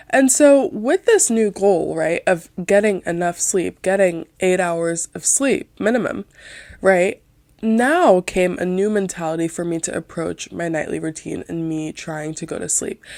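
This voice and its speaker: On a very clean recording with a silent background and a dry, close sound with no echo, a soft-spoken woman at medium pitch talks at a fairly slow pace with lively intonation. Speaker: podcast host. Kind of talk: casual monologue podcast. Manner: quiet.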